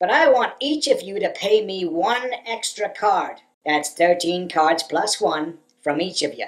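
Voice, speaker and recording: Using a put-on character voice, a woman speaks at a fairly slow pace and medium pitch with lively intonation. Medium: voice reel. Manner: smug, folksy salesman drawl.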